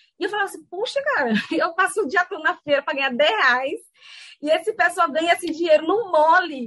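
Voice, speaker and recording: Pitched extremely high, a woman talks at a fairly quick pace with lively intonation and a bright, sharp tone. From Brazil, Salvador, Bahia. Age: 30s. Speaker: business school academic. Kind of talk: lecture. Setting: video call.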